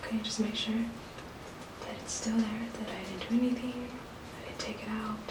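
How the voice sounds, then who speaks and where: Against noticeable background noise, a soft-spoken woman with a fairly high voice talks at a moderate pace in a flat monotone, leaving long, frequent pauses. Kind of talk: ASMR card trick video.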